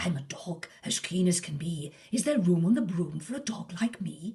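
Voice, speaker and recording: Using a put-on character voice, a woman speaks at a moderate pace with fairly low pitch. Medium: read story. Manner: eager.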